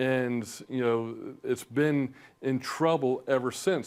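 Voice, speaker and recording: With ordinary pitch variation, the speaker uses a normal speaking voice. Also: man. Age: 60s. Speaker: financial advisor, firm founder. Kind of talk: TV interview.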